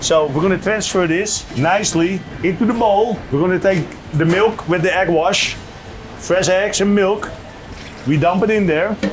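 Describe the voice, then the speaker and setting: A man speaks at a high pitch and moderate pace with ordinary pitch variation and very even loudness. Audible room echo and noticeable background noise surround him. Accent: Dutch. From Netherlands. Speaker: restaurant owner and chef. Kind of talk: casual interview and cooking demonstration.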